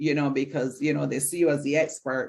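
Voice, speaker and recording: A woman with a Barbadian accent. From Barbados. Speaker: mental health counselor and presenter. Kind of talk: lecture. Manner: hesitant with frequent fillers.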